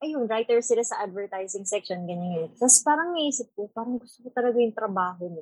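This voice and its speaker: A somewhat breathy woman's voice, fairly high in pitch, at a fairly quick pace with lively intonation. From Philippines. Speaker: cruise ship photographer. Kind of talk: casual chat. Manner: stumbling over words.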